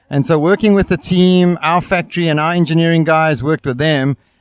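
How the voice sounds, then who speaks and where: A man talks at a fairly quick pace in a fairly high voice. The recording is very clean and silent behind him, the sound dry and close with no echo. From South Africa. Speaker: brake company representative. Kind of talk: interview at trade show. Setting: outdoor expo booth.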